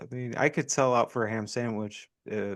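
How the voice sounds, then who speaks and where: At a moderate pace over a quiet background, this is an ordinary speaking voice. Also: man. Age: 50s. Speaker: podcast co-host. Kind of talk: casual chat.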